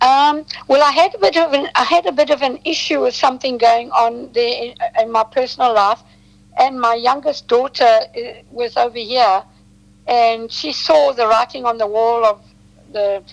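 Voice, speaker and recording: In a South African accent, a woman speaks at a moderate pace with a high pitch and ordinary pitch variation. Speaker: detox specialist. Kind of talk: interview. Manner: halting.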